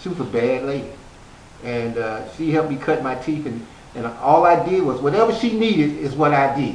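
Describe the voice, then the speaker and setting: Amid noticeable background noise and audible room echo, a man in a relaxed tone talks at a fairly quick pace with very wide pitch swings. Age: 60s. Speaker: author. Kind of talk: interview. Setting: stage. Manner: relaxed, conversational with many fillers.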